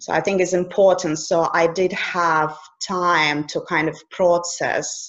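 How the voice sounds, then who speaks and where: A woman with a Russian accent speaks very slowly in a monotone, flat intonation, her pitch fairly low. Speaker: coach. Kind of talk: casual interview conversation.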